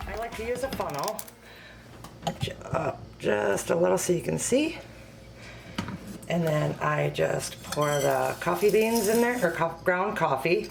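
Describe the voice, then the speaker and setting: A quiet woman's voice with very wide pitch swings and long, frequent pauses, plus noticeable background noise and audible room echo. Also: fairly slow pace. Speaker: home cooking video host and product consultant. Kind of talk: tutorial. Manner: quiet, speaking low; hesitant, many fillers.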